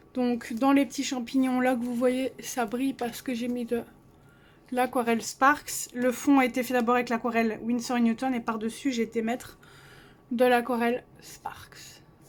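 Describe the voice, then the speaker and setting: A soft-spoken woman talks at a high pitch and a moderate pace. Her delivery is monotone and flat. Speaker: coloring hobbyist youtuber. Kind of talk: casual show-and-tell vlog. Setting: cold bedroom at home.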